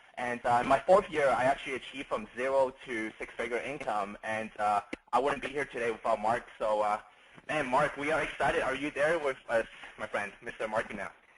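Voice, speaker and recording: A man talking at a fairly quick pace against noticeable background noise. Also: medium pitch for a man, ordinary pitch variation. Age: young. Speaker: network marketer hosting a call. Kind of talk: guest introduction.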